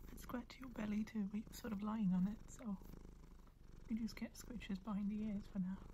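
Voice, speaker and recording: A soft-spoken voice comes through over light background noise. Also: moderate pace. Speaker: ASMR creator. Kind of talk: asmr soft-spoken roleplay. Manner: gentle, coaxing, cooing as if to a cat.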